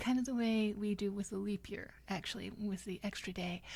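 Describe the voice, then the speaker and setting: Soft-spoken, the voice moves at a moderate pace. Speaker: history channel host. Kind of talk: ASMR history narration, soft-spoken relaxing. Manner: soft-spoken, bemused, conversational.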